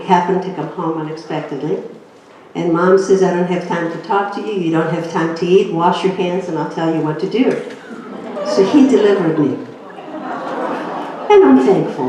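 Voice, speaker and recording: The recording carries noticeable background noise and audible room echo. Through it, a woman speaks at a moderate pace. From Greece. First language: Greek. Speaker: inspirational speaker. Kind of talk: inspirational talk.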